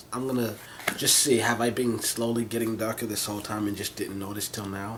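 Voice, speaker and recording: Over noticeable background noise, a soft-spoken man mumbles at a medium pitch with monotone, flat intonation. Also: fairly quick pace. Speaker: vlogger. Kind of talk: casual monologue vlog. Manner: rambling, halting with false starts; soft-spoken, mumbling.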